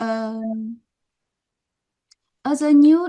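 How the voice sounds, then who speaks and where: A woman with a Chinese accent has a dark, mellow tone and ordinary pitch variation. The sound is dry and close with no echo. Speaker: professor. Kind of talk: lecture. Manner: halting.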